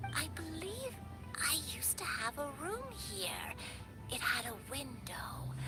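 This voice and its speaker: Against loud background noise, a woman uses a cartoonish character voice at a very slow pace. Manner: slow, gentle, hesitant.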